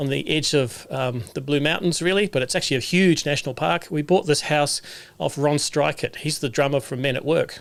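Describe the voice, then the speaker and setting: A man with a New Zealand accent speaks at a fairly quick pace and a fairly high pitch. The recording is very clean, with a silent background. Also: ordinary pitch variation. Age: 60s. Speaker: solar technician and livestream host. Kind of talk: livestream monologue. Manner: casual, with many fillers.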